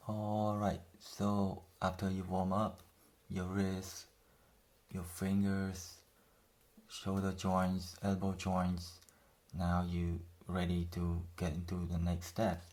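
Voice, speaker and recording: Speaking in a strong non-native accent, a man with a very deep, low pitch talks at a very slow pace, using a monotone, flat intonation and long, frequent pauses, with audible room echo. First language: not English. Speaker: self-taught artist, drawing tutor. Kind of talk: tutorial. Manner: casual, conversational with fillers.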